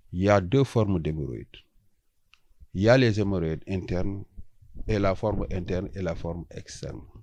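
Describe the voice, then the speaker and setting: Someone with a Senegalese accent speaks at a fairly slow pace in a dark, mellow tone with lively intonation. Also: man. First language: Wolof (speaking French). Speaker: traditional healer. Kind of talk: interview. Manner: hesitant, many fillers.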